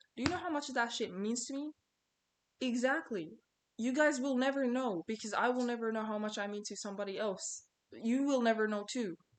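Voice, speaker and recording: With ordinary pitch variation, a woman talks at a fairly quick pace and a high pitch. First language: not English. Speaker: small content creator, vlogger. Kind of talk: casual motivational vlog monologue. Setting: talking to camera. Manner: conversational, repetitive. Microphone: poor video quality.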